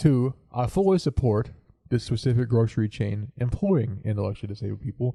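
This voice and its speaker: Dark and mellow in tone, a somewhat breathy man at medium pitch talks at a fairly quick pace with ordinary pitch variation in a dry, close sound with no echo. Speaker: podcast co-host. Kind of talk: casual chat. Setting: home recording setup in living room corner.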